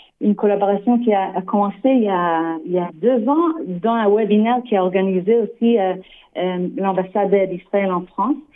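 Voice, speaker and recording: Speaking with a non-native accent, a woman uses ordinary pitch variation. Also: medium pitch for a woman, moderate pace. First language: not French (speaking French). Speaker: developmental psychologist. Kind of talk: radio interview. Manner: halting, many hesitations and repeats.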